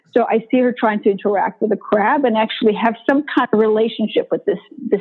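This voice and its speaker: A woman talks at a moderate pace with a Bosnian accent. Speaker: motivational speaker. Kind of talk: interview.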